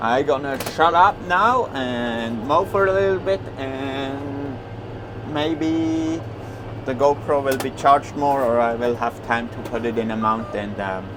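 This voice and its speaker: Noticeable background noise behind a man's medium-pitched voice at a fairly slow pace. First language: Swiss German. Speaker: farmer. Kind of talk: casual vlog talk while working. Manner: halting, with many fillers.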